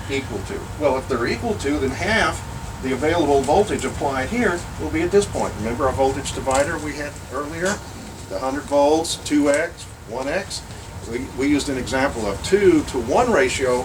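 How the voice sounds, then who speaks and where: Amid noticeable background noise and audible room echo, a man with a fairly high pitch speaks with lively intonation. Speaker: workshop presenter on vacuum tubes. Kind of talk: lecture. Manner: fast.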